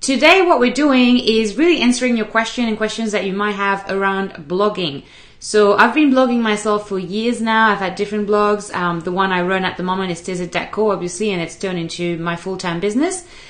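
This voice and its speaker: A woman talks at a fairly quick pace with hardly any pauses and ordinary pitch variation. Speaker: show host. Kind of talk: live stream talk to viewers. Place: home room. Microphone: webcam.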